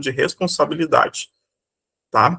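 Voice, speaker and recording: A man's bright, sharp tone with fairly even intonation, in a dry, close sound with no echo. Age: 30s. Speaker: teacher. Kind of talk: lecture.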